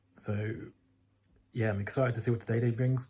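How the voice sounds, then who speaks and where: Somewhat breathy male voice at medium pitch, fairly even intonation, very clean recording with a silent background. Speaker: day trader vlogger. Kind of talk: casual vlog talk. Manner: fast.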